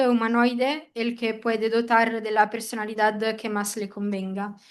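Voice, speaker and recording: A woman with a non-native accent speaks slowly, though only fairly so, at a fairly high pitch with monotone, flat intonation. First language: not Spanish (speaking Spanish). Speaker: seminar attendee. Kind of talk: seminar question. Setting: hybrid seminar room.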